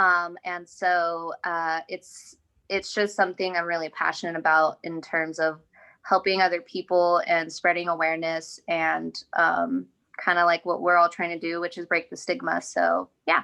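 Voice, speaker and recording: A woman speaks at a moderate pace with a fairly low pitch and a bright, sharp tone. Her intonation is monotone and flat against a quiet background. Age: 20s. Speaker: mental health advocate, nonprofit worker. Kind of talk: casual group discussion. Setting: video call.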